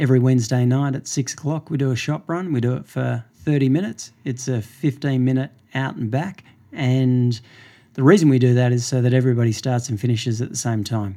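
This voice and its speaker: A man's medium-pitched voice with an Australian accent, dark and mellow in tone, at a fairly quick pace with ordinary pitch variation, on a very clean recording with a silent background. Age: 50s. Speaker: running store owner. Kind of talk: interview. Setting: running store.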